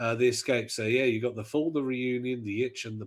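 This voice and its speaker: With a slight Midlands accent, a man speaks at medium pitch and a moderate pace, keeping his intonation fairly even. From English Midlands. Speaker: podcast co-host. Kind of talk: casual chat.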